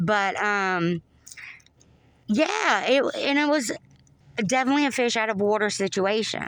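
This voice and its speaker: A woman with a Southern US accent speaks fairly slowly at a fairly high pitch, with lively intonation, very even loudness, and long, frequent pauses. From US South, North Florida. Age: 40s. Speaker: Navy veteran. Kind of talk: casual chat. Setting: podcast recording.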